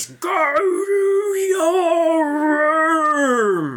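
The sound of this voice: A loud, extremely high-pitched put-on character voice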